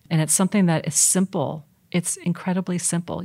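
Very clean, with a silent background and a dry, close sound with no echo, the recording has a woman speaking at a fairly quick pace in a fairly low, somewhat breathy voice with monotone, flat intonation. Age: 50s. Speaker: nonprofit executive director. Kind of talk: interview.

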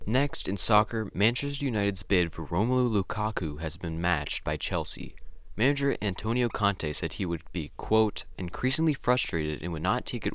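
This man talks fairly fast and fairly low, in a plain, everyday voice. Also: hardly any pauses, very clean recording, silent background. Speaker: podcast host. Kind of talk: sports news reading. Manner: brisk, clipped headline-style delivery.

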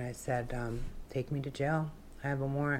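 In a room with audible echo, a woman speaks at a moderate pace with a very deep, low pitch and monotone, flat intonation. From Alaska (Wasilla). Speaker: person in addiction recovery. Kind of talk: testimony.

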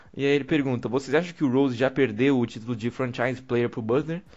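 A man with a medium-pitched voice talks at a very fast pace with ordinary pitch variation. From Brazil. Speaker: podcast host. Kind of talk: casual chat.

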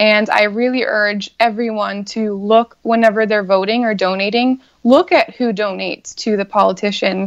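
A normal speaking voice, a woman with a fairly high pitch and ordinary pitch variation, at a moderate pace with hardly any pauses. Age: 30s. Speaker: congressional candidate and comedian. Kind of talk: interview.

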